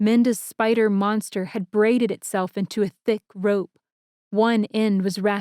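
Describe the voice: Quiet surrounds the voice. It is plain reading aloud, the intonation fairly even.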